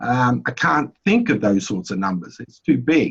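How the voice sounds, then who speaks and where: A man with an Australian accent, medium pitch, at a fairly slow pace. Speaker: economics presenter. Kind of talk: webinar lecture. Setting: online webinar.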